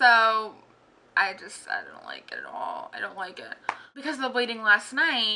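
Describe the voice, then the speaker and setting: A woman's high-pitched voice at a moderate pace, with big swings in loudness and noticeable background noise. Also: lively intonation. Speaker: vlogger. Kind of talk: casual vlog. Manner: restricted mouth movement.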